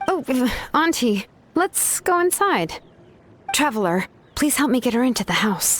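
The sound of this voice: Using a put-on character voice, a woman speaks high and fairly bright at a fairly slow pace, her pitch swinging widely.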